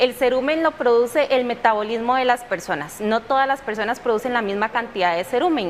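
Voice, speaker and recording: Over noticeable background noise, a woman speaks fairly quickly in a high voice with lively intonation. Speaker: audiologist. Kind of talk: TV interview.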